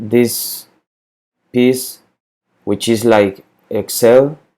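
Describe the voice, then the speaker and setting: Speaking very slowly, a man with a Spanish accent keeps a monotone, flat intonation. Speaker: spreadsheet tutorial maker. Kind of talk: tutorial. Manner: halting, with repetitions and fillers.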